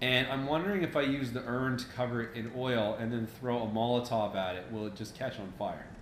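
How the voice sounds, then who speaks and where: A man's medium-pitched voice at a fairly quick pace with hardly any pauses, ordinary pitch variation, audible room echo and noticeable background noise. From Canada. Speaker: gaming let's play host. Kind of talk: casual let's play commentary. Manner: animated.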